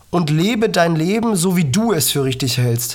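The voice moves at a fairly slow pace with very wide pitch swings, and audible room echo surrounds it. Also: woman. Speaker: podcast host, cystic fibrosis patient. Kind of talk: motivational monologue.

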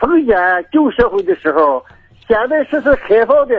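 Slowly and at a high pitch, a man speaks with very wide pitch swings. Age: old. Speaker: caller. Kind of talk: phone call. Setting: phone call. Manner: halting.

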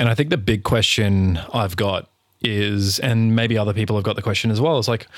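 At very even loudness, a man with a normal speaking voice speaks fairly low in pitch. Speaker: podcast host. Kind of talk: interview.

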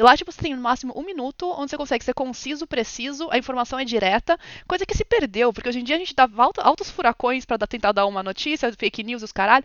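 A woman's high voice, very fast, with lively intonation and big swings in loudness. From Brazil, São Paulo. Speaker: streamer and ASMR artist. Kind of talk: casual chat.

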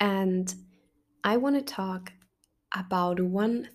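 A woman talks at a medium pitch. She has a German accent. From Germany. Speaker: podcast host and university student. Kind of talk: casual solo monologue. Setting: bedroom at home. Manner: animated; talkative.

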